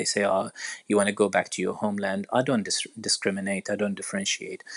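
This is a man speaking with an Arabic accent. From Iraq. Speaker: orthopedic surgeon. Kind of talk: interview. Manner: hesitant, many fillers.

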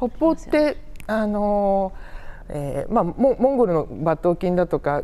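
A woman talks very slowly at a medium pitch in a dark, mellow tone. Her pitch swings very widely. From Saitama, Kanto. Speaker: museum researcher. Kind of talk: interview.

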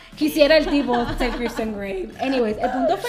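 A woman with lively intonation amid noticeable background noise. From Puerto Rico. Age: 20s. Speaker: publicist. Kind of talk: casual chat.

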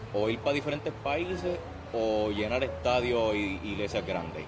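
With a Puerto Rican accent and lively intonation, a man speaks over noticeable background noise and audible room echo. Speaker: podcast host. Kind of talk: interview. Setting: outdoors.

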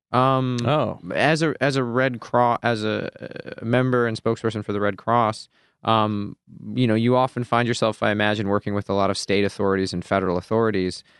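A man speaks at a fairly quick pace in a plain, everyday voice. His pitch is medium and his intonation fairly even. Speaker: podcast co-host. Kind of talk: casual chat. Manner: jokey, playful.

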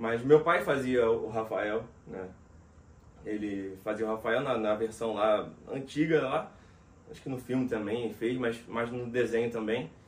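A man speaks at a fairly slow pace with ordinary pitch variation, his loudness swinging widely. Long, frequent pauses break up his speech, and background noise is noticeable. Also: medium pitch for a man. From Rio de Janeiro, Brazil. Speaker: voice actor and dubbing director. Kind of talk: casual interview chat.

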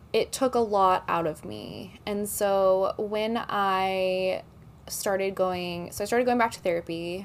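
A woman with an American accent speaks at medium pitch with ordinary pitch variation. It is an ordinary speaking voice, in a very clean recording with a silent background. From Texas, Dallas. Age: 30s. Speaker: TikTok creator. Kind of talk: casual chat.

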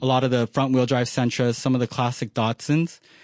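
A man with an ordinary speaking voice at medium pitch and a fairly quick pace, dry, close sound with no echo, quiet background. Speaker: auto shop worker. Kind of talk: casual chat.

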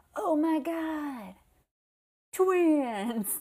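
A woman's high-pitched, put-on character voice. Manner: enthusiastic, excited.

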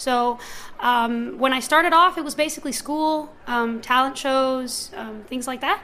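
At a moderate pace, a woman speaks in a raised, projected voice with ordinary pitch variation. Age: 20s. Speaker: singer and songwriter. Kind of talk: interview. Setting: live event at an art gallery.

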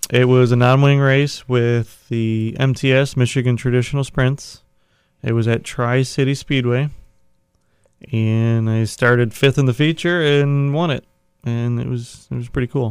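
An ordinary speaking voice comes from a man with an American accent at a medium pitch. He talks at a fairly slow pace with fairly even intonation. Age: 30s. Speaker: sprint car racer. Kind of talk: casual chat. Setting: studio.

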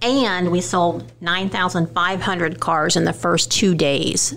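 A woman speaks at a fairly low pitch. Noticeable background noise is present. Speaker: podcast co-host. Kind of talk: casual chat.

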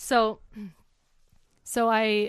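Against a quiet background, a woman speaks with an Upper Midwest accent. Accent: Upper Midwest American. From US Midwest. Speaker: kidney donor. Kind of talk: casual interview. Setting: in person, face-to-face.

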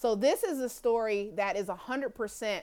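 Lively intonation marks a woman's fairly high voice with an American accent. The recording is very clean, with a silent background. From US Midwest, Kansas City, Missouri. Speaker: author. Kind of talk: interview.

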